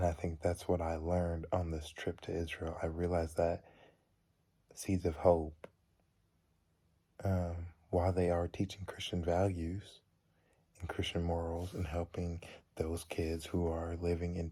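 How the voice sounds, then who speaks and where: The voice is quiet and fairly slow, broken by long, frequent pauses. Its recording is very clean, with a silent background. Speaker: college student. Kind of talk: personal video reflection. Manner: halting.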